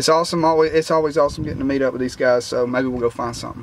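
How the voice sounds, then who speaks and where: Light background noise sits behind the speech. A man talks very fast with ordinary pitch variation. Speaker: metal detecting vlogger. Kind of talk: casual vlog chat. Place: street. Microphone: phone near.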